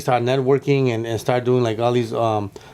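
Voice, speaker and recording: With an American accent, a man of medium pitch speaks at a very fast pace with fairly even intonation. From US West Coast, Los Angeles. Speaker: comedian. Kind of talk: casual interview chat.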